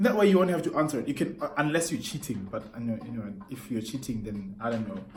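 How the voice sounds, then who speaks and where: With music in the background and audible room echo, a man speaks in an animated tone with very wide pitch swings. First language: not English. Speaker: YouTuber. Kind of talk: rant vlog.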